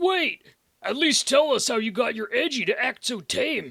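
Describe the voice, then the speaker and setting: A high, raspy put-on character voice speaks at a moderate pace. The recording is very clean, with a silent background. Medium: fan dub. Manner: casual, chummy.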